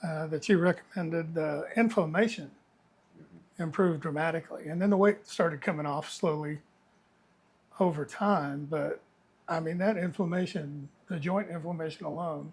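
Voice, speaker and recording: A high-pitched man at a moderate pace, fairly even intonation, long and frequent pauses, on a very clean recording with a silent background. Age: 60s. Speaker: patient. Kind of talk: testimony. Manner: halting.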